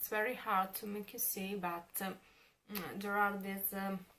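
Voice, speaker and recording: A woman with an Italian accent talks at a very slow pace in a medium pitch. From Italy. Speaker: beauty vlogger. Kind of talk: product review. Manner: halting, many fillers.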